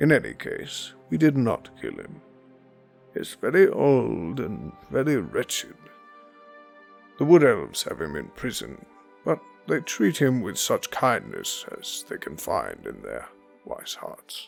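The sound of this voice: Using a put-on character voice, a man talks at a fairly slow pace with long, frequent pauses. Faint music plays in the background.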